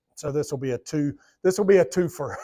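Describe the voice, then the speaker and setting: Speaking at a fairly quick pace, a man with a Southern US accent uses ordinary pitch variation. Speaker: Bible study teacher. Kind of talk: Bible study lesson. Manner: conversational.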